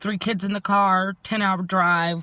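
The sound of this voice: At a fairly slow pace, a woman speaks at medium pitch with a bright, sharp tone and fairly even intonation.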